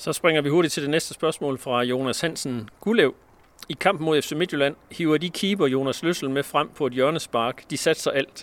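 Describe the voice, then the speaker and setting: A man with a plain, everyday voice speaks fairly high at a moderate pace with ordinary pitch variation. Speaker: sports editor and podcast host. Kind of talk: interview. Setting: outdoors.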